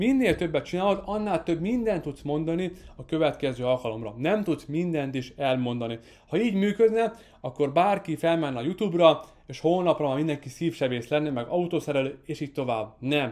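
Against a quiet background, the speaker moves at a moderate pace with lively intonation. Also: man, fairly high pitch for a man. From Hungary. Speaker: marketing course creator. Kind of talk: online course lesson. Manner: occasional slips. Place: studio. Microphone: studio mic.

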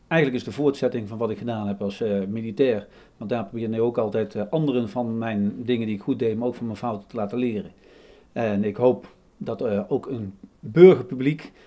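With a dark, mellow tone, a man speaks fairly quickly and with ordinary pitch variation. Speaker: speaker. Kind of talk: interview answer. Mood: calm, earnest.

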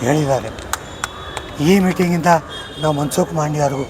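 A man speaks with a fairly high pitch and fairly even intonation. Noticeable background noise can be heard. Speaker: pensioners' union leader. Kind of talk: rally speech. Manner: halting.

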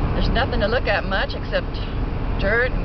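Loud background noise surrounds a woman whose voice sounds dry, with no echo. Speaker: traveler vlogger. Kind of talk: casual vlog chat. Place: car. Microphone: phone near.

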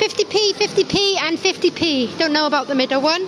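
A fairly slow pace, dry sound with no echo, and noticeable background noise. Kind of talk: casual vlog chat. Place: hall. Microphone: phone near.

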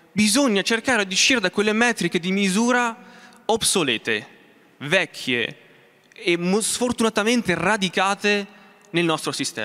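Speaking in a raised, projected voice, a man with a high pitch and a bright, sharp tone talks at a fairly slow pace with ordinary pitch variation against a quiet background. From Umbria, Italy. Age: 20s. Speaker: space researcher. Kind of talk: motivational talk. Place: hall. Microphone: handheld.

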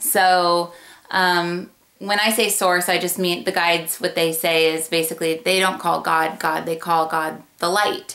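A woman's fairly low voice, flat and monotone in intonation. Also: quiet background. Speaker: intuition teacher. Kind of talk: explanatory vlog talk. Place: home room. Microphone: webcam.

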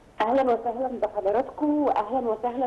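Talking at a moderate pace, a woman has an ordinary speaking voice pitched fairly high. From Egypt. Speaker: journalist. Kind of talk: TV interview. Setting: phone call.

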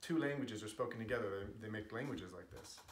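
Audible room echo carries a man's voice. He has an American accent and ordinary pitch variation. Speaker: linguist. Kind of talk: casual talk to camera. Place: home room. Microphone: camera far.

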